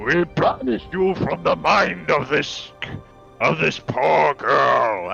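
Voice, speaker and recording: A man uses a booming, put-on character voice at a very slow pace and very even loudness. Clear music sounds in the background. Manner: commanding, banishing.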